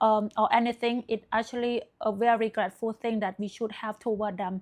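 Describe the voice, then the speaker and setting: A woman with a non-native accent at a moderate pace, on a very clean recording with a silent background. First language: not English. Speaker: self-help video creator. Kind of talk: motivational talk to camera. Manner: hesitant, frequent fillers.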